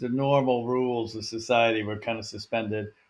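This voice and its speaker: In an American accent, a man with a medium pitch speaks at a moderate pace in an unremarkable speaking voice. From US West Coast, Portland Oregon. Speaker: nonprofit founder and CEO. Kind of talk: podcast interview.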